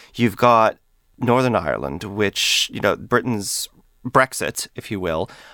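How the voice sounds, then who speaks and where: A man's fairly low voice with a bright, sharp tone, vocal fry and lively intonation, dry and close with no echo in a very clean recording over a silent background. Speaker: podcast host and historian. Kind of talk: interview, host-led conversation. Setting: studio.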